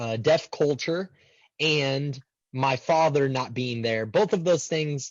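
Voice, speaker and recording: Pitch rises and falls in an ordinary way while the words come out very slowly. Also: man, fairly high pitch for a man. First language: American Sign Language. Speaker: transpersonal psychologist. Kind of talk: interview. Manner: halting, many repeated words.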